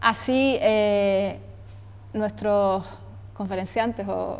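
A woman's voice with monotone, flat intonation. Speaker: event moderator. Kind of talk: event introduction. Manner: halting, filler-heavy. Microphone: lapel.

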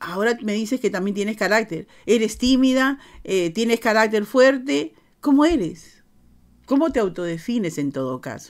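A woman's fairly high voice with very wide pitch swings over a quiet background. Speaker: interviewer host. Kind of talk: casual interview chat. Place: home room.

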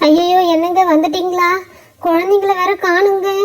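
A woman uses a cartoonish character voice at an extremely high pitch, raised and projected. She speaks fairly slowly with monotone, flat intonation. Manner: anxious, tender.

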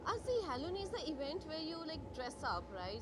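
Against loud background noise, a woman talks with ordinary pitch variation. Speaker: guest. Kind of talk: interview answer. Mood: excited, cheerful. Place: hall. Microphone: handheld.

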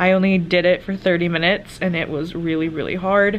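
Against light background noise, a woman speaks in a fairly low, monotone, flat voice. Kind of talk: casual vlog chat. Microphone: phone near.

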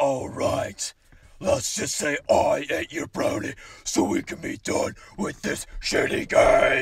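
A man uses a put-on character voice that sounds raspy. He speaks at a fairly slow pace. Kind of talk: acted comedy dialogue. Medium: comedy sketch. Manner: grumpy, crude. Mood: fed up.

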